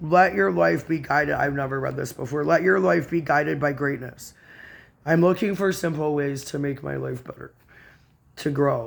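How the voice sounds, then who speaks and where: At a moderate pace, a man with a fairly high voice talks with lively intonation. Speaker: spiritual video blogger. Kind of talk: reading aloud with personal commentary. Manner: calmer than before.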